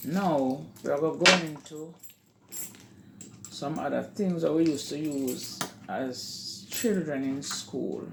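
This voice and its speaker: Very slow speech in a Jamaican accent, with long, frequent pauses and noticeable background noise. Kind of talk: casual talk to camera.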